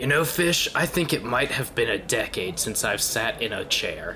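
A man uses a put-on character voice at a medium pitch and a moderate pace. Clear background noise is present. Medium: actual play. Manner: sarcastic, crude.

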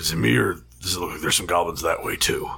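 A raspy man's put-on character voice, very deep and low, at a very fast pace. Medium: actual play. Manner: casual, offhand.

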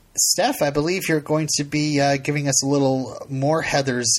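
A man's fairly high-pitched voice. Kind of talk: casual chat. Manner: halting.

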